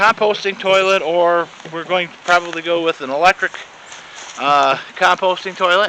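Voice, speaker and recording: A high-pitched man at a moderate pace, with ordinary pitch variation and noticeable background noise. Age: 50s. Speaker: property owner giving video tour. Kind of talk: casual walking video tour. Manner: halting, many fillers and repeats.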